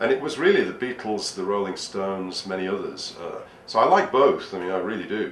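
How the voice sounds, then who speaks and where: Over noticeable background noise and audible room echo, a man with an English accent talks at a fairly quick pace, his fairly low pitch showing ordinary variation. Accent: typical English. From northern England. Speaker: history speaker. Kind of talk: casual interview chat.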